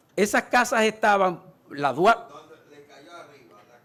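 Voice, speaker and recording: This man's high-pitched voice moves at a moderate pace, its pitch shifting in an ordinary way. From Dominican Republic, Pedernales. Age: 60s. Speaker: local historian. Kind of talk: Q&A answers; lecture. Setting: book fair talk with audience.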